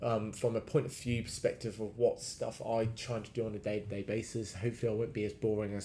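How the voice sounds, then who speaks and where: Very fast speech comes from a man with a fairly low pitch and a dark, mellow tone. He sounds somewhat breathy, his intonation fairly even. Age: 30s. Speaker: fitness coach. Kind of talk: solo podcast monologue. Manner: hesitant with many fillers.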